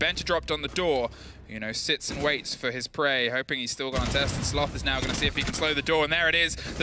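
Someone speaks at a very fast pace in an energetic tone with ordinary pitch variation, over noticeable background noise. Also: man. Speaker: esports commentator. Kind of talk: live esports commentary, play-by-play. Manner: fast, urgent, energetic play-by-play.

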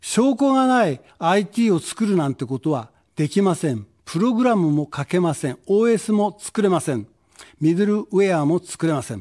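Over a quiet background, a man with a dark, mellow tone talks at a moderate pace in a high pitch, his pitch swinging very widely. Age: 70s. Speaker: political candidate; candidate. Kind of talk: campaign speech. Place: studio. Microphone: podium.

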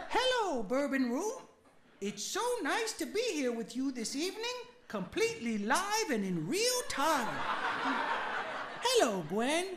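In a cartoonish character voice, the speaker goes at a fairly slow pace with a high pitch and very wide pitch swings. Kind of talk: cheerful talk-show host. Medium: puppet show.

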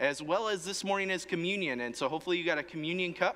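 At a very fast pace, a man speaks with a bright, sharp tone. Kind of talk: church announcements. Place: church.

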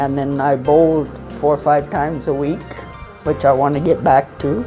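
Clear music can be heard in the background. Over it, a woman talks. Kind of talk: interview answer. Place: tunnel cave. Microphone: lapel.

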